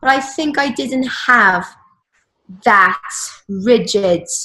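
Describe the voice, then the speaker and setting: Speaking at a very slow pace, a woman uses a bright, sharp tone and lively intonation. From Mexico. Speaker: person who stutters. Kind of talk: interview answer.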